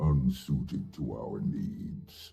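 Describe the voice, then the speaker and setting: Faint music plays in the background as a man does a put-on character voice with a very deep, low pitch. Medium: video game. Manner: measured, formal.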